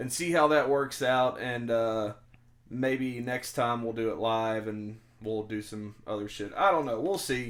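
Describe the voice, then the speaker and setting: Moderately paced speech from a man, its pitch varying in an ordinary way. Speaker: podcast host. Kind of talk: casual chat. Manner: loud; halting, many fillers.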